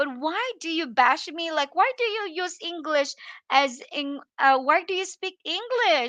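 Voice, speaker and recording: Raising and projecting her voice, a woman with a Filipino accent speaks at an extremely high pitch and fairly slow pace, her tone bright and sharp and her intonation lively. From Philippines. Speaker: livestream vlogger. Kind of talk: casual livestream chat. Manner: halting.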